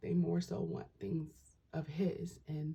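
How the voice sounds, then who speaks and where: Soft-spoken woman at a moderate pace. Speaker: tarot reader and spiritual vlogger. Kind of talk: casual vlog monologue. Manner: soft-spoken, talking low; halting, many fillers.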